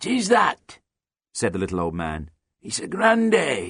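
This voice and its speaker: Putting on a raspy character voice, a man speaks at medium pitch and a moderate pace, with big swings in loudness. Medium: read story. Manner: terse, folksy, chuckling.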